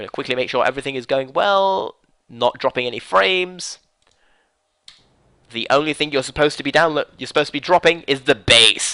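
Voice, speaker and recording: With a British accent, a man talks at a fairly quick pace in a fairly high pitch with lively intonation and long, frequent pauses, the sound dry and close with no echo. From Britain. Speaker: esports caster. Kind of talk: live commentary. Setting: live stream. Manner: fast.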